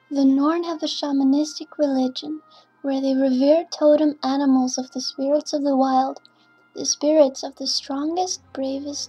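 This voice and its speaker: A woman's high voice with fairly even intonation over music in the background. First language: not English. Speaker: gamer. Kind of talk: game lore narration.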